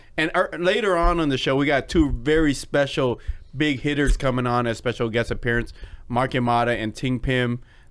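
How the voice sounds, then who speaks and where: A man with an American accent uses a normal speaking voice at a medium pitch and a fairly quick pace. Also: ordinary pitch variation. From Seattle, US Pacific Northwest. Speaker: podcast host and former nightclub promoter. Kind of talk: casual chat.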